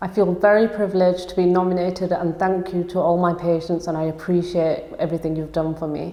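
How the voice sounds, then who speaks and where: In a Yorkshire accent, a woman speaks at a very fast pace with hardly any pauses, in a fairly low pitch and a monotone, flat intonation. Noticeable background noise can be heard. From northern England, Huddersfield, Yorkshire. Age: 20s. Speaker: osteopath and business owner. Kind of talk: personal testimony interview.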